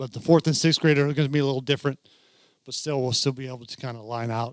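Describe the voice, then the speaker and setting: A man speaks at a medium pitch and a very fast pace. His intonation stays fairly even. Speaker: youth football commissioner and coach. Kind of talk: training presentation. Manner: mumbling; casual, halting.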